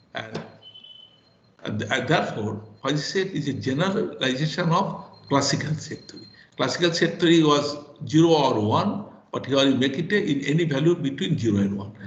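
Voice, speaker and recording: Amid noticeable background noise and audible room echo, a man talks at a moderate pace and a fairly high pitch, with lively intonation, big swings in loudness, and long, frequent pauses. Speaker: professor. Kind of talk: lecture. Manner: halting.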